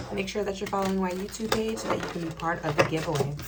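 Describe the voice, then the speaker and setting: Background noise is noticeable. The room echo can be heard as well. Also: woman. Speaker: tarot reader. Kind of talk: tarot reading for a collective audience. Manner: halting, stuttering.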